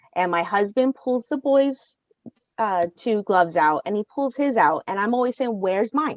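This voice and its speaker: A woman with a fairly high pitch speaks in an animated tone at a moderate pace. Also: lively intonation, dry, close sound with no echo. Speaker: baseball fan, mother. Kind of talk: podcast interview, casual storytelling. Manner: loud.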